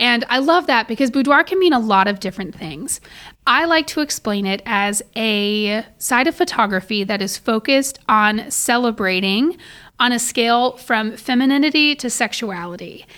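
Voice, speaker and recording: This woman has an American accent and a bright, sharp tone at a fairly high pitch. She talks at a moderate pace with lively intonation in a very clean recording with a silent background. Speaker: boudoir and wedding photographer. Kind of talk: casual interview chat.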